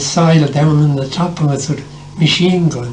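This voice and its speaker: Amid noticeable background noise and audible room echo, a man with a Tipperary accent talks at a fairly high pitch. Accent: Irish, Tipperary. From Ireland, County Tipperary. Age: 80s+. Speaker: war veteran. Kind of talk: oral history interview.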